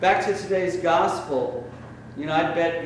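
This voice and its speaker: A man talking at a fairly slow pace with fairly even intonation, plus noticeable background noise. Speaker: priest giving a sermon. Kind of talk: church sermon. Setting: church. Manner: casual, conversational, storytelling.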